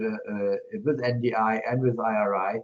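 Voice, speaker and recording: A man with a German accent. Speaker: politician. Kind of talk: panel discussion. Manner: halting, many fillers.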